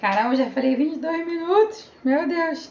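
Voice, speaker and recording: Amid audible room echo and noticeable background noise, a woman talks fairly slowly. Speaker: social media manager. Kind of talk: live stream tutorial. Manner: animated.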